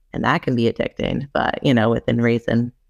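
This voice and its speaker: This woman speaks with an American accent. The sound is dry and close, with no echo. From US Northeast, Rhode Island. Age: 30s. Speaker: addiction recovery coach. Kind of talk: casual panel discussion.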